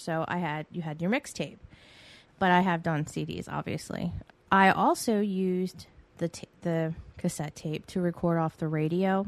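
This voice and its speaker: Over a quiet background, a woman uses a normal speaking voice at a fairly low pitch. Her pace is moderate and her intonation fairly even. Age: 40s. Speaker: podcast host. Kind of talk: casual solo monologue.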